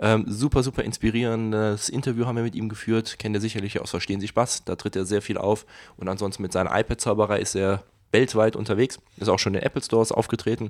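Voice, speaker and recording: Very fast and monotone, a man speaks with flat intonation at a fairly low pitch. The recording is very clean, with a silent background. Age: 20s. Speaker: podcast host and magician. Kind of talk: casual chat.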